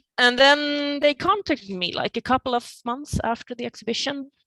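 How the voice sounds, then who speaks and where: A woman speaks at a moderate pace with a Swedish accent, recorded with a dry, close sound and no echo. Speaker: painter. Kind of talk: interview. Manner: halting.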